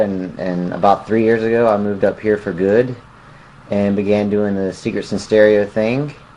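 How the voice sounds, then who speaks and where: A man with a Southern US accent speaks at a moderate pace. His pitch is fairly low and his intonation fairly even. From US South, Mississippi near Jackson. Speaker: musician. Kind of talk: interview.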